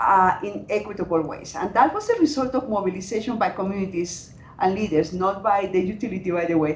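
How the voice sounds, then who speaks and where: A woman's medium-pitched voice with a Latin American accent, ordinary pitch variation and hardly any pauses, over noticeable background noise. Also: fairly quick pace. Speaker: climate adaptation researcher. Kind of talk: panel discussion.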